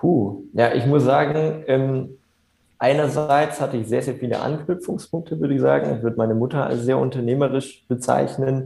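A man's dark, mellow voice with vocal fry, at a moderate pace. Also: medium pitch for a man, ordinary pitch variation. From Germany, Upper Franconia (near Bamberg). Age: 20s. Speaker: entrepreneur. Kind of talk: interview. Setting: video call. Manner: hesitant, many filler sounds. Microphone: reduced audio quality over video call.

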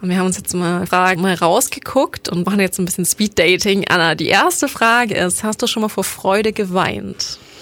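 Over noticeable background noise, a woman at a medium pitch talks at a moderate pace with ordinary pitch variation. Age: 20s. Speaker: podcast co-host, university student. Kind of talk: casual chat. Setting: studio.

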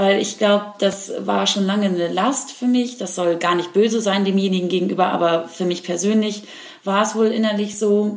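Amid noticeable background noise and audible room echo, a woman talks at a moderate pace and a medium pitch with fairly even intonation. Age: 20s. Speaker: podcast host, actor. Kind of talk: casual chat.

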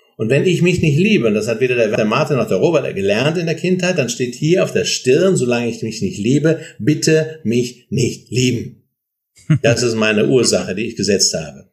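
This man's voice sits at a medium pitch and sounds somewhat breathy, with very wide pitch swings. He speaks at a moderate pace. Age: 60s. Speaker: author and seminar leader, psychologist. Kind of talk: interview.

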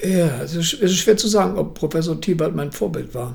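A man is speaking. The room echo is audible. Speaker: martial arts grandmaster. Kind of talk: interview. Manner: halting.

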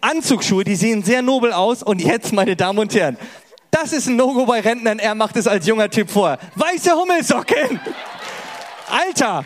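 Animated in tone and high-pitched, a man speaks at a moderate pace with lively intonation and very even loudness over noticeable background noise. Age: 30s. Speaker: stand-up comedian. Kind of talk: casual chat; stand-up. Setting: stage with audience.

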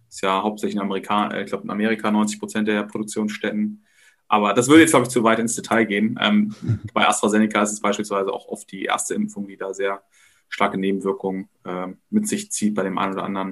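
At a very fast pace, a man speaks in a fairly low, monotone, flat voice with big swings in loudness. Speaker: podcast co-host. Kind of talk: casual chat.

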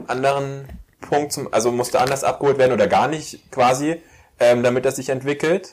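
At a fairly quick pace, the speaker has an ordinary speaking voice with ordinary pitch variation. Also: man. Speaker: podcast host. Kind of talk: casual interview chat.

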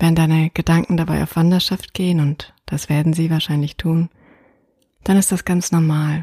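Dry and close with no echo, a woman's somewhat breathy voice has a dark, mellow, soothing, calm tone and monotone, flat intonation. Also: fairly low pitch for a woman. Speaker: meditation guide. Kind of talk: guided meditation. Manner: slow, soothing, soft-spoken, calm.

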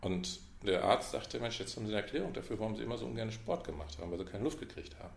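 A man talks very fast at a fairly low pitch with lively intonation. Noticeable background noise and audible room echo surround him. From Westphalia, Münster. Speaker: management consultant. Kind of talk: casual interview. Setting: in-person meeting in Munich.

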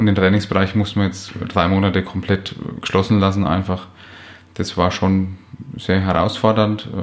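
This man talks at a moderate pace with a very deep, low pitch and monotone, flat intonation. Long, frequent pauses break up his speech, and noticeable background noise is present. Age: 30s. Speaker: physiotherapist and practice owner. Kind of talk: interview. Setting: office.

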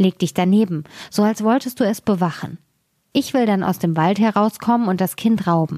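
Very clean and silent in the background, the recording holds a woman's dark, mellow voice at medium pitch with very even loudness. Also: ordinary pitch variation, moderate pace. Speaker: fairy tale reader. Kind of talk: fairy tale reading aloud, scripted narration. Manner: storytelling, expressive, changing tone for characters.

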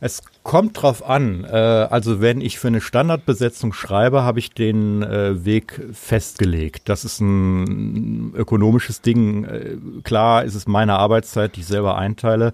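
A man's plain, everyday voice with a fairly low pitch, ordinary pitch variation and a fairly slow pace. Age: 50s. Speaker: saxophonist and music school director. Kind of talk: interview.

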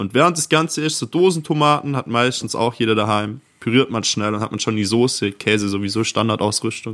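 A man talks at a fairly quick pace with hardly any pauses, in an unremarkable speaking voice. His pitch is medium, with ordinary variation. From near Ravensburg, Swabia (southern Germany). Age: 20s. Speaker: podcast co-host. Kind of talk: casual chat.

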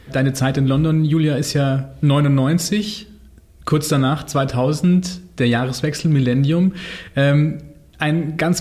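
A man with a fairly high pitch speaks in a somewhat breathy voice with ordinary pitch variation. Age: 30s. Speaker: podcast host, journalist. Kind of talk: casual chat.

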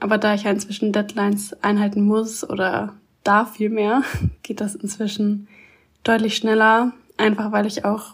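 A woman's fairly high voice comes through somewhat breathy. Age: 20s. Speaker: author. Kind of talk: casual interview.

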